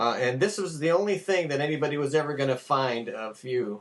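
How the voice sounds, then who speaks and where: At a moderate pace, a man with an unremarkable speaking voice and a fairly high pitch talks with lively intonation. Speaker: interviewer. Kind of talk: interview question.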